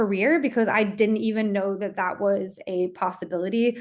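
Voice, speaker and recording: A woman with an unremarkable speaking voice and an American accent, medium in pitch, at a moderate pace with fairly even intonation over a quiet background. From USA. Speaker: sales enablement professional. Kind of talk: webinar fireside chat.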